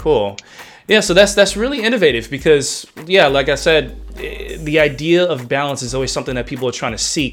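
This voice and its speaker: A man talks fairly quickly as music plays in the background. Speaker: radio host. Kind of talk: radio DJ patter, show intro and interview. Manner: upbeat, animated, enthusiastic broadcaster.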